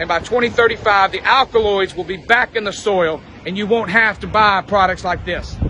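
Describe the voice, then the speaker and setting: Noticeable background noise under a high male voice. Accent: American. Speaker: supplement salesman. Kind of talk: promotional pitch to camera. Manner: upbeat, fast, salesy.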